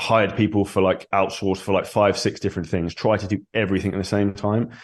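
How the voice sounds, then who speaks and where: Against a quiet background, a man with a southern English accent and a fairly low pitch speaks at a very fast pace in a monotone, flat intonation. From England (Surrey). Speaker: online fitness coach, entrepreneur. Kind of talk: podcast interview.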